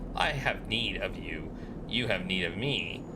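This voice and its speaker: Put-on, whiny, robotic character voice from a man at medium pitch, moderate pace, over loud background noise. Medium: game stream. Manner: terse, broken phrasing.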